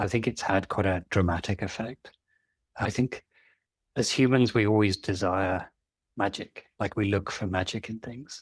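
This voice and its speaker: A man's somewhat breathy, fairly low-pitched voice with a British accent, fairly even intonation and a moderate pace, on a very clean recording with a silent background. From Britain. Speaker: engineering leadership coach. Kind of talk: interview podcast.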